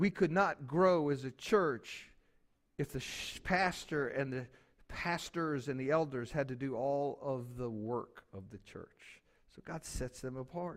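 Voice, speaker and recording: With a plain, everyday voice, a man speaks at a fairly slow pace and fairly high pitch, showing ordinary pitch variation and big swings in loudness. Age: 60s. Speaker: pastor. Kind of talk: sermon. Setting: church.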